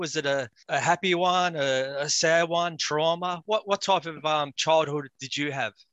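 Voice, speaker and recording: A man's fairly high voice in an Australian accent, bright and sharp in tone, with ordinary pitch variation, a quiet background, and a dry, close sound with no echo. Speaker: mental health podcast host. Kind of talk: interview.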